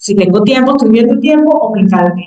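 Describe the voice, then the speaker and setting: At a very fast pace, a woman with a fairly high pitch speaks in a dark, mellow tone. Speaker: university professor and researcher. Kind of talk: academic talk. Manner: hesitant fillers.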